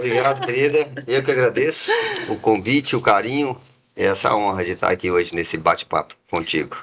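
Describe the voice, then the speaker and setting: This man has a medium pitch and lively intonation. He talks at a fairly quick pace. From Minas Gerais, Brazil (raised in Itabira). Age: 60s. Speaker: business founder. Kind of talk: interview.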